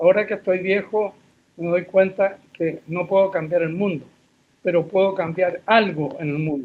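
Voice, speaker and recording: This man's high-pitched voice moves with fairly even intonation. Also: moderate pace. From Chile. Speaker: forestry professor and consultant. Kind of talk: interview. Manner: hesitant, with fillers.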